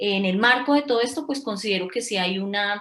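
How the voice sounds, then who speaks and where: In a Colombian accent, a woman speaks at a moderate pace. Her pitch is medium, with ordinary variation. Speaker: social worker. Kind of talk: panel discussion. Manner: halting.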